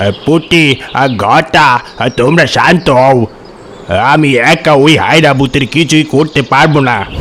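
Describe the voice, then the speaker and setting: A man uses a cartoonish character voice with fairly high pitch, speaking at a fairly slow pace. Clear background noise runs underneath. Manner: authoritative.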